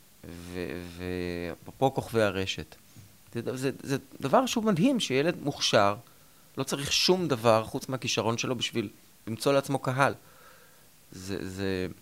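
Pausing long and often, a man talks fairly slowly at a medium pitch, his pitch swinging very widely. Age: 50s. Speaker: TV writer and creator. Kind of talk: interview.

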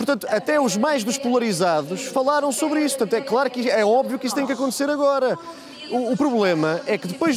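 A man speaks at a fairly quick pace with lively intonation and an extremely high pitch, over noticeable background noise. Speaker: political commentator. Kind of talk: political panel debate. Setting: remote link from party congress venue.

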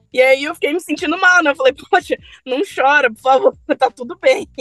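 A woman's high-pitched voice, bright and sharp in tone, at a moderate pace, with a dry, close sound and no echo. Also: long, frequent pauses, big swings in loudness. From Brasília, Brazil. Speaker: app driver. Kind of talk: storytelling.

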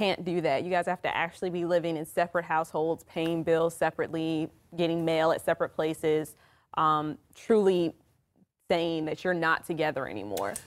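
A woman with an American accent speaks at a fairly quick pace with fairly low pitch and ordinary pitch variation, in an ordinary speaking voice. The recording is very clean, the background silent. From Maryland / Washington DC area. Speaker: attorney. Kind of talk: radio legal talk show discussion. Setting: studio.

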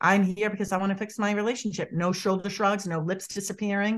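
A woman speaks at medium pitch and a fairly quick pace with an animated tone, in a Boston accent, over a quiet background. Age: 50s. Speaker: body language expert. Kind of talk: interview. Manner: rambling, digressive.

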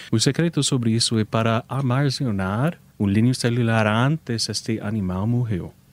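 Speech with an American accent moves at a moderate pace with hardly any pauses and very even loudness on a very clean recording with a silent background. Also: man, medium pitch for a man, ordinary pitch variation. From United States. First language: English (speaking Portuguese). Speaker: animal cloning business owner. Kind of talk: radio interview. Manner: halting.

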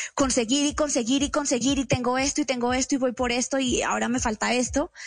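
Against a quiet background, a woman speaks at a moderate pace with a high pitch. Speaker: speaker and writer. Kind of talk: radio interview.

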